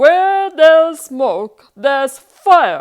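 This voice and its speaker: A woman uses a put-on character voice pitched extremely high. Her intonation is lively. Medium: read story. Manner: earnest, heroic.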